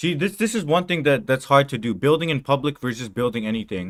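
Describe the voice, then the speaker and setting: This man speaks with a non-native accent at a fairly quick pace. His intonation is lively. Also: very clean recording, silent background. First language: not English. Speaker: coding streamer. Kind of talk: casual chat. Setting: live stream. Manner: animated.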